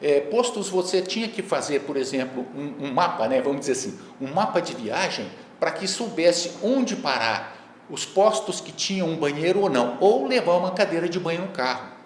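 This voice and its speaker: A man's high voice moves through very wide pitch swings. Audible room echo and noticeable background noise fill the recording. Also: moderate pace. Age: 60s. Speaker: master's student and court employee, wheelchair user. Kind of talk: lecture. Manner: halting, many filler words.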